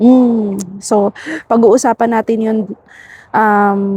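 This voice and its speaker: Soft-spoken and somewhat breathy, a woman talks very slowly in a dark, mellow tone. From Philippines. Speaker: vlogger, overseas worker. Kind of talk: casual vlog talk. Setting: outdoors, walking.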